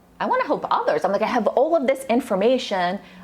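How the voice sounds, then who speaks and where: Noticeable background noise sits under a woman who talks fairly quickly. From Russia, moved to US at twelve. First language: Russian. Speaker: nutritionist. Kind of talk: casual interview chat. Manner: animated.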